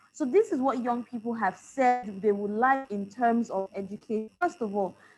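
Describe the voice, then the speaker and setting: A woman's fairly high voice over background music. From Nigeria. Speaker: medical doctor and youth advocate. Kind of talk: panel discussion.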